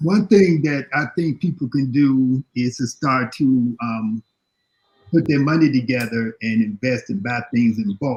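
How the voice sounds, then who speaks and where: A somewhat breathy man with an American accent, medium pitch, ordinary pitch variation and a fairly slow pace. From Chicago. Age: 60s. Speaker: panelist on health and diet. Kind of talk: panel discussion. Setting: live online video panel. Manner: halting, repetitive.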